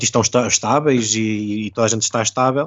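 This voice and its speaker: Fairly quick speech from a man, medium in pitch. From Portugal. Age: 30s. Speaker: covid-19 survivor. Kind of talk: casual chat. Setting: video call. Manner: halting.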